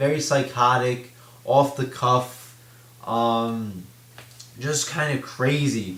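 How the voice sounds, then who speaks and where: A man's medium-pitched voice with fairly even intonation, set against noticeable background noise. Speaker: wrestling commentary vlogger. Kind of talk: casual talk to camera.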